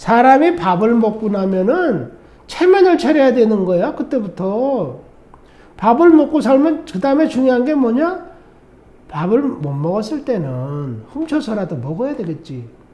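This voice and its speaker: Over noticeable background noise and audible room echo, a man talks at a fairly slow pace in an extremely high pitch with very wide pitch swings. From South Korea. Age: 60s. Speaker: vlogger, Korean emigrant. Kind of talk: monologue vlog. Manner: animated.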